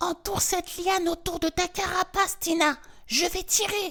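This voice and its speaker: At a moderate pace, someone performs a put-on character voice at an extremely high pitch. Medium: read story. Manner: gentle, encouraging.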